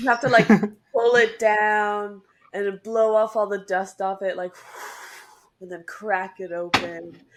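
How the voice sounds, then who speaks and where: Speaking in a normal speaking voice at a fairly slow pace, a woman with medium pitch keeps her intonation fairly even while her loudness swings widely, all in a very clean recording with a silent background. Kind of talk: casual podcast conversation.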